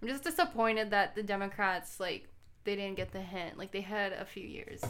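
A woman's normal speaking voice, medium in pitch, with an American accent, fairly even intonation, big swings in loudness and a fairly quick pace. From Arizona, Tucson. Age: 20s. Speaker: law student. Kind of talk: casual chat.

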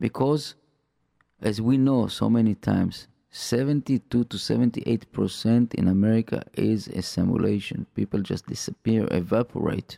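At a fairly slow pace, a man with a non-native accent speaks at medium pitch in a dark, mellow tone with ordinary pitch variation, the sound dry and close with no echo. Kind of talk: religious talk radio monologue. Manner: halting, with frequent fillers and repetitions.

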